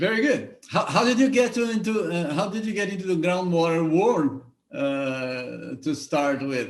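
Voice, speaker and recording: Speaking with a Brazilian accent at a moderate pace, a man's high pitch moves through very wide pitch swings. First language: Portuguese. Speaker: show host. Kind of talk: interview. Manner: halting, repeats words.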